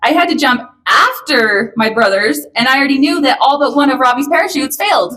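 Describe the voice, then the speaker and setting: A woman's raised, projected voice, high-pitched, with lively intonation, a fairly quick pace and very even loudness. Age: 30s. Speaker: daughter of the deceased giving a eulogy. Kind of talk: eulogy speech. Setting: memorial service.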